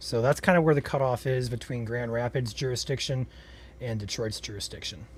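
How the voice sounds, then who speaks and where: Here a man speaks with an American accent at medium pitch, somewhat breathily. His pitch varies an ordinary amount on a very clean recording with a silent background. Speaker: storm chaser livestream host. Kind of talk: live weather coverage. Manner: soft-spoken.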